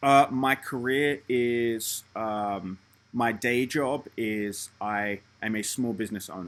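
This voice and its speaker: Speaking in a London accent at a very slow pace, a man holds his medium pitch in a fairly even intonation. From London, England. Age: 30s. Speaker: channel host reviewing side projects. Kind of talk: casual intro and user interview.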